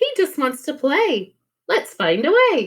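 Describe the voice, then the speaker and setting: A woman puts on a squeaky, high-pitched character voice that swings very widely in pitch at a fairly slow pace. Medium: read story. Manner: loud, bouncy.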